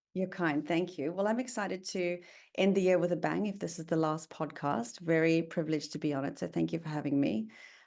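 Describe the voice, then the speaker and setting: A woman talks fairly quickly in a South African accent. Her pitch is fairly low, with ordinary variation. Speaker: tech company founder and CEO. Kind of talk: podcast interview.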